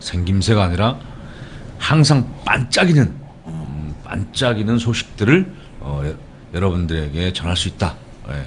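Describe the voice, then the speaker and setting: Very deep and low, a man's voice swings very widely in pitch at a fairly slow pace. Long, frequent pauses break it up, over noticeable background noise. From South Korea, Gangneung, Gangwon Province. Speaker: political campaign strategist hosting a web show. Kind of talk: casual comedic talk show chat.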